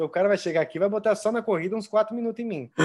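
A man's voice with lively intonation. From interior of São Paulo state, Brazil. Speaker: triathlon coach, former professional triathlete. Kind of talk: interview.

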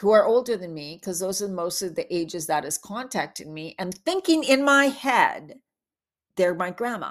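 With lively intonation, a woman speaks in an unremarkable speaking voice at a medium pitch, captured on a very clean recording with a silent background. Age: 50s. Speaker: podcast host. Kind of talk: solo monologue. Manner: casual, chatty with laughs.

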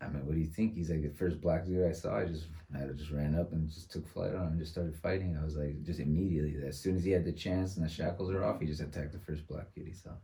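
In an American accent, a man speaks very fast with a very deep, low pitch and a dark, mellow tone. His voice is somewhat breathy, the intonation fairly even, and audible room echo is present. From San Francisco, California. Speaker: teacher and former probation officer. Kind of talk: casual chat.

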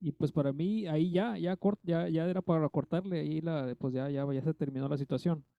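At a moderate pace, a man with a fairly high voice and a dark, mellow tone speaks with ordinary pitch variation, the sound dry and close with no echo against a quiet background. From Mexico, Tlaxcala. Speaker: podcast guest, film fan. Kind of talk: casual chat.

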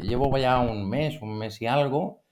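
A man at medium pitch talks at a very slow pace with ordinary pitch variation. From Spain, Barcelona. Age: 50s. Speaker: algorithmic trader. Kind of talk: casual interview.

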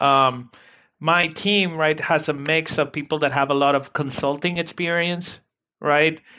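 A man talks at a fairly slow pace. His voice sits fairly high, with ordinary pitch variation. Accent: Spanish. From South America. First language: Spanish. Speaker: sales operations leader. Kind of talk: interview. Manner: halting, many repetitions.

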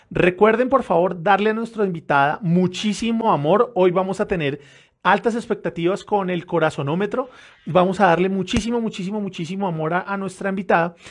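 A man with a Bogotá accent talks at a fairly quick pace in a high pitch with ordinary pitch variation. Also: quiet background. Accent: Bogotá Colombian Spanish. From Bogotá, Colombia. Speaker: podcast host. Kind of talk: live show hosting. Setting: live stream.

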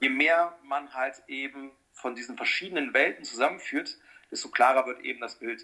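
In a normal speaking voice, a man talks at a moderate pace and fairly high pitch, with fairly even intonation and big swings in loudness. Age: 40s. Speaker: personal trainer. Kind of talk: casual chat.

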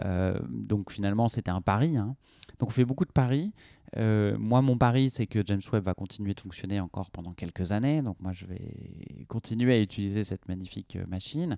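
A man speaks at a moderate pace in a dark, mellow tone with ordinary pitch variation. The sound is dry and close with no echo, against a quiet background. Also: fairly low pitch for a man. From Brittany, France. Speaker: astrophysicist. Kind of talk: radio interview. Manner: halting, many fillers and repetitions.

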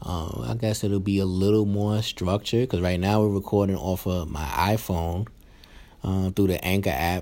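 A quiet man with a New York accent speaks at a moderate pace in a very deep, low pitch, using ordinary pitch variation. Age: 30s. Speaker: podcast host and new father. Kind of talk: casual chat. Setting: hospital room. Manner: speaking quietly; uneven, unpolished delivery.

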